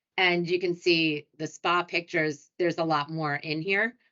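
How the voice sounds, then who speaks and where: A woman's fairly low voice with a New York accent, fairly even intonation and a fairly slow pace. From US Northeast, New York City. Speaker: hotel sales director. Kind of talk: webinar presentation. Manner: casual, chatty.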